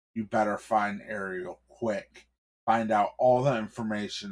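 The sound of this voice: Quiet background, an unforced reading voice, and pitch that varies in an ordinary way.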